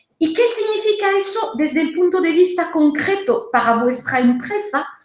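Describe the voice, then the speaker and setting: In a room with audible echo, a woman speaks at an extremely high pitch. Her pitch swings very widely at a moderate pace. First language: French (speaking Spanish). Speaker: trade consultant / webinar instructor. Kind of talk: webinar lecture. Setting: online webinar.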